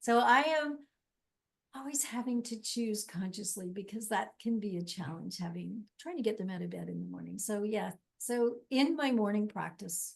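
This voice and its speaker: This woman's fairly high voice has lively intonation, a moderate pace, a somewhat breathy quality and big swings in loudness. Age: 60s. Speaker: life coach. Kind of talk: interview.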